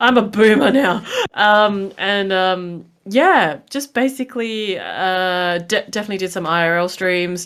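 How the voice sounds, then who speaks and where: Barely pausing, a woman with an Australian accent speaks at a fairly slow pace, medium pitch and ordinary pitch variation. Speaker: Twitch streamer. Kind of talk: podcast discussion.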